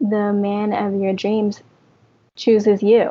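A woman with a fairly high pitch speaks at a very slow pace in a somewhat breathy voice. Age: 30s. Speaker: coaching client. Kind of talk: interview.

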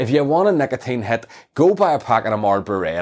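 A man in a Northern Irish accent with very wide pitch swings at a moderate pace, on a very clean recording with a silent background. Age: 40s. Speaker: comedian. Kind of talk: casual chat.

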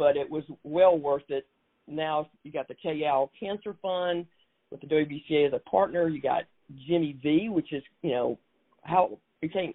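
A woman with a very deep, low voice and a South Carolina accent talks at a fairly slow pace, with long, frequent pauses and big swings in loudness. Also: ordinary pitch variation. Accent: Southern US, South Carolina. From South Carolina Low Country. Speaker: basketball executive and award winner. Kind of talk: interview conversation.

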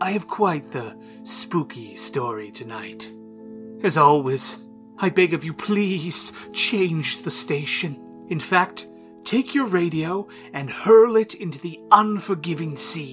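A put-on character voice at a middle pitch delivers lines at a fairly slow pace over clear music in the background. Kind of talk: campy horror host narration. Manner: playful, menacing, rambling.

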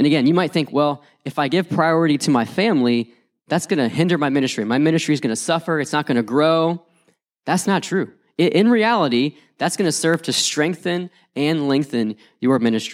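A man with an American accent and an unremarkable speaking voice, fairly high in pitch, lively in intonation, fairly quick in pace, very even in loudness, on a very clean recording with a silent background. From West Virginia. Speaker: youth pastor. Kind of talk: conference talk.

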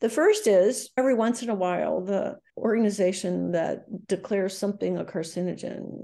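Against a quiet background, a woman speaks at a moderate pace with a medium pitch and ordinary pitch variation. Her tone is dark and mellow, with vocal fry. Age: 70s. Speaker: epidemiologist, research director. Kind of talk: interview.

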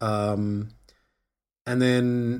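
Fairly even intonation from a man with a New Zealand accent. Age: young. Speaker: film composer. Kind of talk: casual chat.

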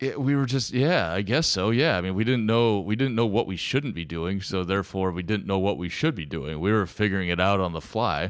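This man has an ordinary speaking voice, fairly low in pitch, with an American accent. He talks at a fairly quick pace with lively intonation and hardly any pauses. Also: very clean recording, silent background. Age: 40s. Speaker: winemaker. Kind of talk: casual chat.

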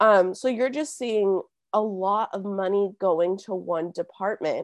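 Here a woman speaks with a Californian accent. The sound is dry and close with no echo, and the background is quiet. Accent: Californian American. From Southern California (Simi Valley). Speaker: community organizer. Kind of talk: interview.

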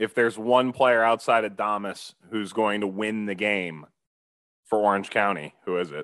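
A man with a plain, everyday voice speaks at a fairly low pitch and a fairly slow pace. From US Midwest, Cleveland, Ohio. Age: 20s. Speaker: soccer commentator and podcast co-host. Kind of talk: casual chat.

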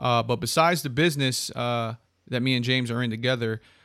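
Over a very clean recording with a silent background, a man with an American accent speaks at a fairly quick pace in a normal speaking voice, at medium pitch with fairly even intonation. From Connecticut. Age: 30s. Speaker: podcast host. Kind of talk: casual chat.

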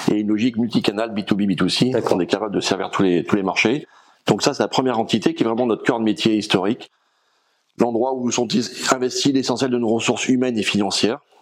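A man speaks in a normal speaking voice. His intonation is fairly even and his loudness very even. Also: medium pitch for a man, fairly quick pace. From France, Rhône valley (Drôme/Ardèche). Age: 50s. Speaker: logistics company founder. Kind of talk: interview.

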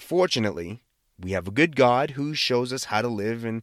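With an American accent and a medium pitch, a man speaks at a moderate pace in an animated tone with lively intonation, on a very clean recording with a silent background. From Boston area, US. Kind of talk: devotional talk with prayer. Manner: casual, animated, self-deprecating.

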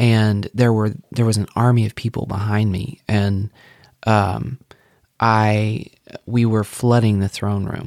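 Very slowly and in a monotone, flat intonation, a man talks at a fairly low pitch, the sound dry and close with no echo. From Arkansas. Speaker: worship leader. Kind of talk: casual interview. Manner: halting, many fillers.

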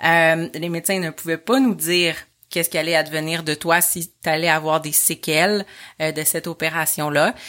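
A bright, sharp tone carries fairly even intonation at a moderate pace. The recording is very clean, with a silent background. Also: woman, fairly low pitch for a woman. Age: 30s. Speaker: mother of a child with hydrocephalus. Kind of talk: personal testimony told to her son.

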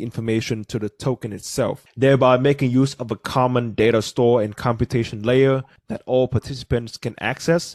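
The speaker has a Vietnamese accent and a moderate pace. The sound is dry and close, with no echo. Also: man. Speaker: podcast host. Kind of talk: casual podcast discussion.

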